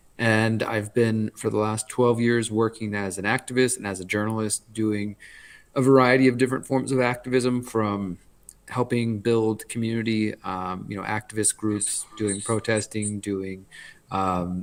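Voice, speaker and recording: With an American accent, a man with an unremarkable speaking voice talks at a moderate pace, his fairly low pitch set in fairly even intonation. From US South, Houston, Texas. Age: 30s. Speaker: journalist. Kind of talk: interview.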